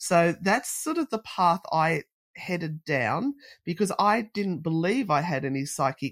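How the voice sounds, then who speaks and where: A woman speaks with an Australian accent and lively intonation. The recording is very clean, with a silent background. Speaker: paranormal investigator. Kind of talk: casual interview chat.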